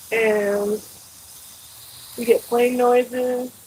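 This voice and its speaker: Over noticeable background noise, a woman talks loudly in a high pitch. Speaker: gardening vlogger. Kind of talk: casual vlog talk while gardening. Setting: outdoors in a suburban garden. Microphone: microphone far away on the trellis.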